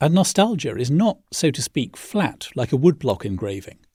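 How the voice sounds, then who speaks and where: On a very clean recording with a silent background, a man with a fairly high pitch and a dark, mellow, somewhat breathy tone speaks at a moderate pace. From English Midlands, Birmingham. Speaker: podcast host. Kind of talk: scripted narration. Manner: measured.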